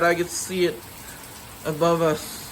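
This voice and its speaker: A man speaks in a raised, projected voice. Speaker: storm video maker. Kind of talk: casual vlog commentary.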